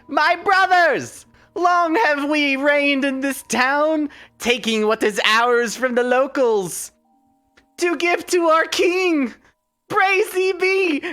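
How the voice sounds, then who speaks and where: A raspy, high put-on character voice moves at a very slow pace as faint music plays in the background. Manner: grandiose, proclaiming.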